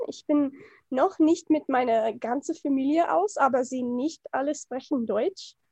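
A woman speaks with an English accent in a high pitch. Her tone is dark and mellow, and the sound is dry and close with no echo. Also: ordinary pitch variation, fairly slow pace. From USA. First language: English (speaking German). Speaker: film and gender studies enthusiast. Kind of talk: casual chat. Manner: halting.

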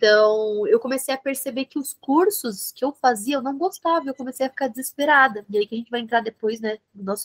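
A woman's voice with ordinary pitch variation and a dry, close sound with no echo. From Brazil, São Bernardo do Campo (São Paulo ABC region). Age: 20s. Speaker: fashion marketing entrepreneur and influencer. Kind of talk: interview. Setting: video call.

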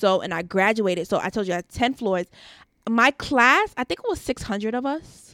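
A woman with an ordinary speaking voice and an American accent talks at a fairly quick pace with a fairly high pitch and lively intonation, in a very clean recording with a silent background and a dry, close sound with no echo. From New York (Queens/Long Island). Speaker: esthetician and entrepreneur. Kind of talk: casual interview chat.

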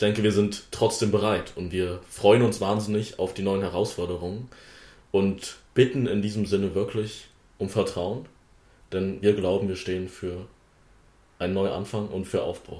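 Somewhat breathy and dark, mellow in tone, a man's fairly low voice stays monotone and flat, broken by long, frequent pauses. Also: moderate pace. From Wittenberg, Saxony-Anhalt, Germany. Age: young. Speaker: parliamentary candidate, podcast host. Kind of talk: casual chat.

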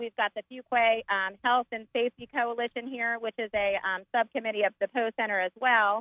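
A woman with a fairly high pitch and an unremarkable speaking voice talks at a moderate pace. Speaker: market organizer. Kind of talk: promotional interview. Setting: outdoors at market.

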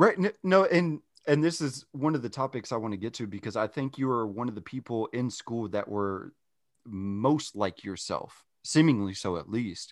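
Recorded very cleanly with a silent background and a dry, close sound with no echo, a man in an ordinary speaking voice talks at a moderate pace and medium pitch with lively intonation. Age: 30s. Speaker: podcast host. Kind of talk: casual chat. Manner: laughs often.

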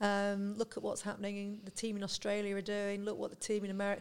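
Her voice is at a medium pitch for a woman. She speaks at a fairly quick pace. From northwest England (Lancashire). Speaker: chief operating officer. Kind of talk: interview. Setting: podcast recording. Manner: direct.

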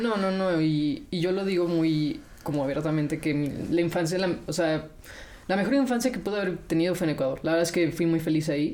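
With a dark, mellow tone and very even loudness, a woman speaks at a fairly low pitch amid audible room echo. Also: ordinary pitch variation, fairly quick pace. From Mexico. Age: 20s. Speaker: robotics engineer. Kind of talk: interview.

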